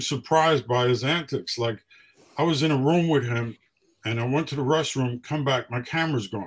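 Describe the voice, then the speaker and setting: Against a quiet background, a man with a New York accent speaks at a fairly quick pace and fairly high pitch, somewhat breathy, with fairly even intonation. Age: 70s. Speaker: hip hop photographer; interview guest. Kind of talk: casual interview. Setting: radio studio. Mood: fond, amused storytelling. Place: home room.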